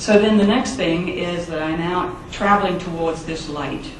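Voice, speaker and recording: The speaker has a slight English accent and a fairly slow pace. Noticeable background noise is present. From England. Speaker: scientist sharing near-death experience. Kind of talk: testimony. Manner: halting, with many fillers.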